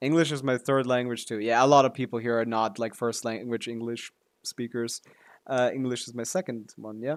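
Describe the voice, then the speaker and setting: Speaking at a fairly quick pace with a German accent, this voice keeps a fairly even intonation but shows big swings in loudness, in a dry, close sound with no echo. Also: man, medium pitch for a man. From Serbia. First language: German or Serbian. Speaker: streamer. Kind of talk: casual chat. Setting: live stream.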